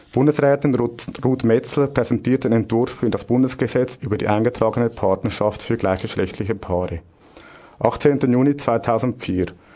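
A man's medium-pitched voice, varying in an ordinary way, carries over noticeable noise in the background. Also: moderate pace. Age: 30s. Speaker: radio host, union official. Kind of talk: scripted radio segment.

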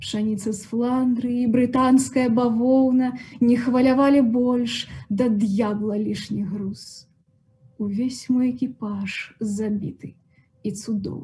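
A woman speaks very slowly at a high pitch, with a dark, mellow tone, fairly even intonation, big swings in loudness, and long, frequent pauses. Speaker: poet reading aloud. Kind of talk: poetry reading in a patient's voice, a stark first-person monologue.

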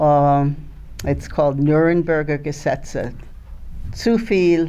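With audible room echo, a woman speaks very slowly in a very deep, low voice, leaving long, frequent pauses. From Germany, Baden region, then France and Switzerland as a child. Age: 80s+. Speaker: Holocaust survivor and eyewitness. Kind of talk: reading aloud a prepared testimony. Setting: school assembly in front of pupils. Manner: halting, with hesitations.

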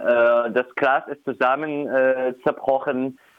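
Very slowly, a man with a fairly high pitch speaks. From Syria. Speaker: refugee rights activist. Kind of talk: interview. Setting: phone call. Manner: hesitant, many fillers.

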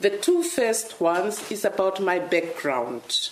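A woman with a medium pitch speaks in audible room echo, with noticeable background noise behind her. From Namibia, rural village. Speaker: author and diplomat. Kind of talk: author talk.

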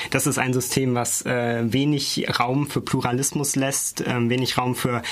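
Over noticeable background noise, a man speaks at a medium pitch in a flat monotone. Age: 20s. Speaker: student politician. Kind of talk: studio debate. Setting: studio.

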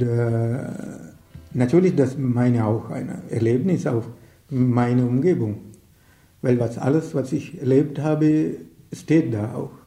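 A man with a medium pitch speaks very slowly with long, frequent pauses, his dark, mellow, somewhat breathy voice moving with ordinary pitch variation against audible room echo. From Sri Lanka. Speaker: writer and activist. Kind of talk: interview. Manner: halting, many hesitations.

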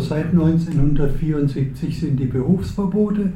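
A man with a fairly high pitch talks at a very slow pace, with ordinary pitch variation. Audible room echo and noticeable background noise are present. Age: 70s. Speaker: activist, retired teacher. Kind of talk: panel discussion. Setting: stage with audience.

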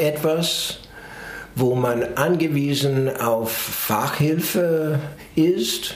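Amid noticeable background noise and audible room echo, a man talks at a very slow pace in a fairly high pitch with ordinary pitch variation. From US, New York. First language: English (speaking German). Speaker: psychologist. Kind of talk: interview. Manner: hesitant, many fillers.

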